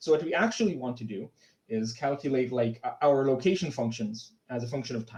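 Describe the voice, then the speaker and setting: A man with a medium pitch talks fairly quickly, his pitch varying in an ordinary way. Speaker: conference speaker presenting physics talk. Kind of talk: lecture. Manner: fast; halting, many fillers.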